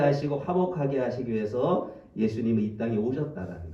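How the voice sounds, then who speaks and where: Lively intonation from a man, with audible room echo and noticeable background noise. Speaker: pastor. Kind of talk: sermon. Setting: church. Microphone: speaking through a face mask, may sound muffled.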